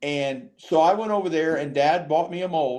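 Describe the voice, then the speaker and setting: A man with an American accent and an ordinary speaking voice, at a moderate pace with ordinary pitch variation. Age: 60s. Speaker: fishing podcast host and tackle business owner. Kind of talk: casual chat.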